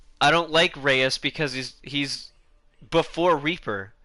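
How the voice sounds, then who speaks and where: This man has a fairly high pitch and a bright, sharp tone with vocal fry. He talks at a fairly slow pace with ordinary pitch variation over a quiet background. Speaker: gaming YouTuber. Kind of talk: casual commentary vlog. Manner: halting, many false starts.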